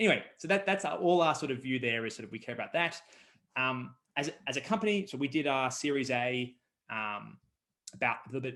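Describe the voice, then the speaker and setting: Speaking very fast with an Australian accent, a man uses lively intonation. His pitch sits in the medium range. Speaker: startup co-founder. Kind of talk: interview.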